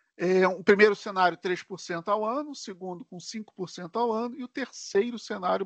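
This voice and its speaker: A man with a Rio de Janeiro accent speaks at a moderate pace with ordinary pitch variation. The sound is dry and close with no echo, over a quiet background. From Brazil, Rio de Janeiro. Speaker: tech solution architect presenter. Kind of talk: live webinar tutorial. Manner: casual, filler-heavy.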